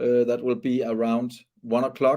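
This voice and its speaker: A man's medium-pitched voice has a dark, mellow tone and monotone, flat intonation. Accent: Danish. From Denmark. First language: Danish. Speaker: sailing race commentator. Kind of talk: live commentary. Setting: studio. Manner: halting.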